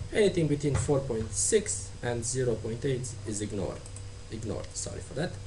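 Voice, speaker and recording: A man talks at a moderate pace with ordinary pitch variation. Noticeable background noise and audible room echo surround his voice. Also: medium pitch for a man. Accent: Romanian. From Romania. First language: Romanian. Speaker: tutorial maker. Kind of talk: tutorial. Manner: halting.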